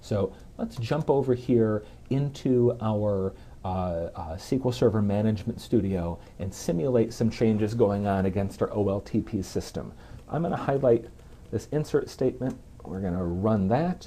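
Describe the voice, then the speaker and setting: A man speaks in a normal speaking voice at a moderate pace, with fairly low pitch and ordinary pitch variation. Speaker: software program manager. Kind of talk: tech demo presentation.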